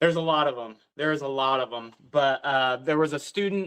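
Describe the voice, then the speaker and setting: The speaker is a man at a fairly high pitch. He has a bright, sharp tone and keeps a moderate pace. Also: quiet background. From southern Missouri. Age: 30s. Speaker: teacher and speaker. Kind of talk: interview storytelling.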